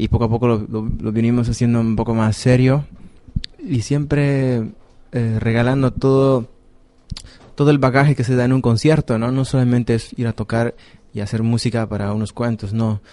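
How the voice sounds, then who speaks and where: Medium-pitched man with a dark, mellow tone, a moderate pace and fairly even intonation. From Bolivia. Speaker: jazz musician. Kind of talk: radio interview.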